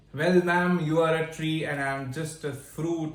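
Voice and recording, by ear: Someone talks at a fairly slow pace with strong room echo around the voice. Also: man, fairly high pitch for a man, fairly even intonation.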